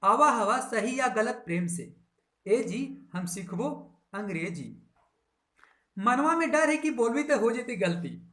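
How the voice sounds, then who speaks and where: A man's voice at an extremely high pitch carries lively intonation and a bright, sharp tone. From Bihar, India. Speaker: English motivation teacher for rural youth. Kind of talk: poetry reading with explanation.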